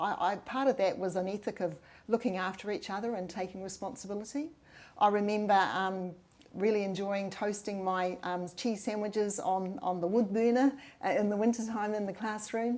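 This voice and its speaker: Someone speaks with a New Zealand accent at a moderate pace with ordinary pitch variation on a very clean recording with a silent background. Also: woman. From New Zealand, Waikato. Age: 60s. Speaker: mayoral candidate. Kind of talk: interview. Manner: hesitant, many fillers.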